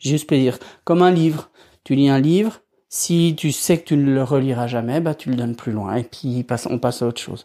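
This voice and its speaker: A man with a fairly high pitch and a dark, mellow tone comes through on a very clean recording with a silent background. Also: ordinary pitch variation, moderate pace. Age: 40s. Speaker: podcast host. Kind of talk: solo podcast talk. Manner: casual, hesitant with fillers.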